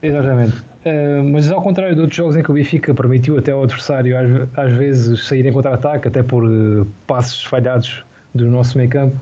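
Somewhat breathy and dark, mellow in tone, a man's voice holds a very even loudness. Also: medium pitch for a man, fairly even intonation. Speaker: football podcast co-host. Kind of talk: casual chat.

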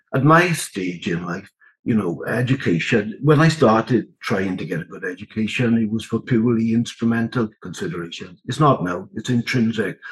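Moderately paced speech from a man at medium pitch, lively in intonation, with hardly any pauses. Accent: South Wales Valleys. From south Wales (Rhondda). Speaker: education researcher. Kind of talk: interview about research.

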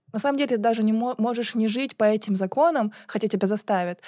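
Speaking at a very fast pace, a woman with a fairly high pitch and a dark, mellow tone keeps ordinary pitch variation and very even loudness. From Buryatia, Russia. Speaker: podcast co-host. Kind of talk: debate. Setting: studio.

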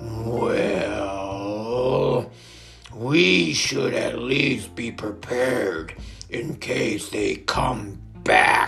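Growling in a put-on character voice, a man speaks at a medium pitch and a very slow pace while clear music plays in the background.

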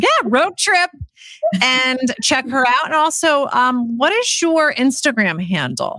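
A woman's high, bright, sharp voice, raised and projected, with lively intonation, very even loudness and a very slow pace. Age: 40s. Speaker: podcast co-host. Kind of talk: casual chat.

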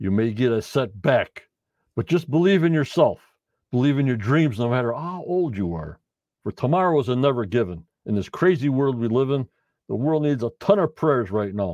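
Pitch swings very widely as a man speaks at a moderate pace. The sound is dry and close with no echo against a quiet background. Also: medium pitch for a man. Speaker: podcast host doing live post-show chat. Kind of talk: casual live-stream chat reading viewer comments. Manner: stumbling, repetitive.

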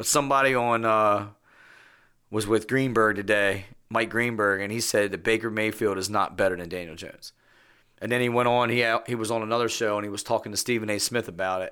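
A man's bright, sharp voice at a fairly low pitch and fairly quick pace, on a very clean recording with a silent background. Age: 40s. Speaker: sports podcast host. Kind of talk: casual chat. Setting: studio. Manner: animated.

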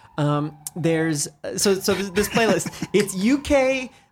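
A man talking at a very slow pace over music in the background. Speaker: DJ and record label co-founder. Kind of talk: casual chat. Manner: joking.

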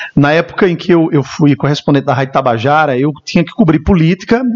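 A fairly high male voice, very fast and with lively intonation, over noticeable background noise. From Brazil, Campina Grande, Paraíba. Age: 30s. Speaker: radio announcer and event emcee. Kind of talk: interview chat.

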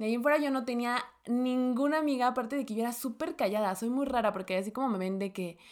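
A woman talks in a normal speaking voice, pitched fairly high with ordinary pitch variation. The recording is very clean, with a silent background. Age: 20s. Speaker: podcast co-host. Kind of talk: casual chat.

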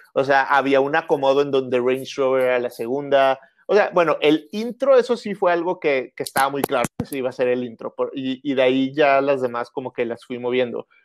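On a very clean recording with a silent background and a dry, close sound with no echo, a man speaks with a Monterrey accent. His fairly high voice moves at a fairly quick pace with ordinary pitch variation. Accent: marked Monterrey. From northern Mexico, Monterrey. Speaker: musician. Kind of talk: casual interview.

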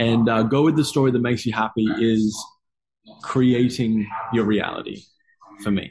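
In an Australian accent, a man with a medium-pitched voice speaks at a moderate pace with fairly even intonation, very even loudness and long, frequent pauses. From Australia, Gold Coast. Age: 20s. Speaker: movement coach. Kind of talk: casual chat.

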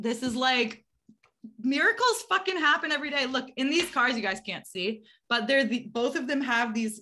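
This woman has a high pitch and a bright, sharp tone, sounding animated and enthusiastic with lively intonation. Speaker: astrology podcast host. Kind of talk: casual chat. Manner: animated, enthusiastic.

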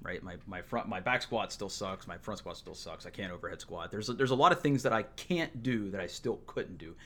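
A man's normal speaking voice at a medium pitch, lively in intonation, with big swings in loudness, a fairly quick pace and hardly any pauses, on a very clean recording with a silent background. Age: 30s. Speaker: gym member. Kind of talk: casual chat.

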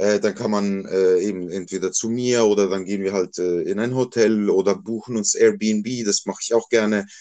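With hardly any pauses, a man at a moderate pace uses a fairly low pitch, a dark, mellow tone and a monotone, flat intonation. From Switzerland, Basel area. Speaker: male escort. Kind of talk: casual interview.

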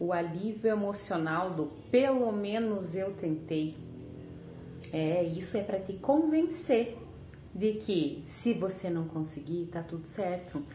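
A woman of medium pitch, somewhat breathy and dark and mellow in tone, with lively intonation, a very slow pace and audible room echo. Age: 30s. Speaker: weight-loss storyteller. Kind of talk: personal testimony and motivational talk.

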